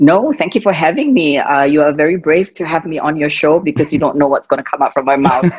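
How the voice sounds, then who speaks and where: In a quiet background, a woman with a very deep, low pitch talks at a very fast pace with hardly any pauses and ordinary pitch variation. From Singapore. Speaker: fitness and wellness entrepreneur. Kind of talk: interview answer. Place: home room. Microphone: video call.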